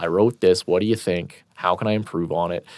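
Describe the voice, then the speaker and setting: A man with a Canadian accent at a fairly quick pace, on a very clean recording with a silent background. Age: 30s. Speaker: hockey blog editor. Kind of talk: casual interview. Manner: halting, many repeated words.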